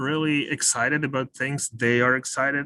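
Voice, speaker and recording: A fairly slow man's voice with a non-native accent and a bright, sharp tone, in dry, close sound with no echo. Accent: foreign. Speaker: webinar speaker. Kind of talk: webinar talk.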